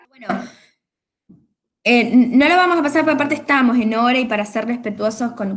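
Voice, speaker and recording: Audible room echo surrounds a woman's voice. Her pitch is fairly high, with ordinary variation. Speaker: university lecturer. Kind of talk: online class lecture. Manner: fast.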